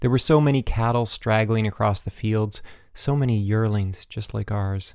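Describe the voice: The text comes across as plain reading aloud with ordinary pitch variation.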